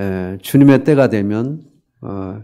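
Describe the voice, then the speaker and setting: Here a man speaks at a fairly slow pace. His voice sits fairly low, with a dark, mellow tone. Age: 60s. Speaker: missionary preacher. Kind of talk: sermon. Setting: church service. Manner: halting, many fillers.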